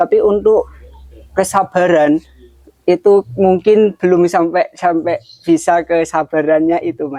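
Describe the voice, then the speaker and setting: A man's high-pitched voice with a dark, mellow tone, fairly even intonation and a fairly slow pace, dry and close with no echo. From Kudus, Central Java, Indonesia. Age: 20s. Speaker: young craftsman. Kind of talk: interview testimony.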